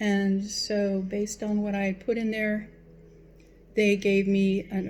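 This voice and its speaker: Speaking at a fairly slow pace, a woman with medium pitch has a dark, mellow tone that is somewhat breathy. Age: 60s. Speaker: vlogger. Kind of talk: personal vlog monologue. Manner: hesitant, with fillers.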